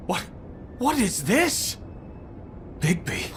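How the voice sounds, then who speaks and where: Putting on a character voice, a man speaks at a high pitch over clear background noise. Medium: video game. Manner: loud, emotional.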